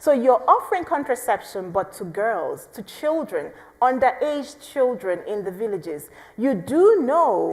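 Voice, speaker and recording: A woman talks at a fairly slow pace in a high pitch with very wide pitch swings. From southeastern Nigeria. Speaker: pro-life activist. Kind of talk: speech. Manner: passionate.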